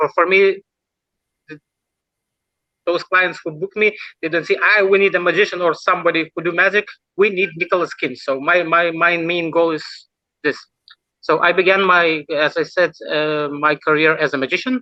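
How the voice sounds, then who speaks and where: A man with a Lithuanian accent speaks at a moderate pace in a high pitch, his fairly even intonation broken by long, frequent pauses in a dry, close sound with no echo. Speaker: mentalist. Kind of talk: interview. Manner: halting.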